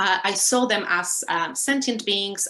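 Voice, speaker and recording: A woman with a Polish accent speaks at a fairly slow pace. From Poland. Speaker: lecturer and animal rights activist. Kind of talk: interview. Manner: hesitant, many fillers.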